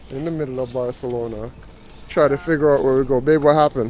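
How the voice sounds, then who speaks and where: Fairly high-pitched and fairly quick, a man speaks with a Jamaican accent and fairly even intonation. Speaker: travel vlogger. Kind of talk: casual chat.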